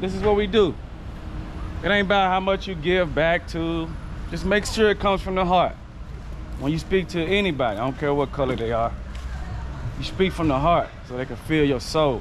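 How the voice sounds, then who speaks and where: Over light background noise, a man with an American accent and a fairly high pitch talks at a fairly quick pace with lively intonation and long, frequent pauses. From US South, Memphis, Tennessee; Tennessee. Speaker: content creator. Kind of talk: casual interview; casual chat. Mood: earnest, heartfelt. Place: garden. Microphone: phone near.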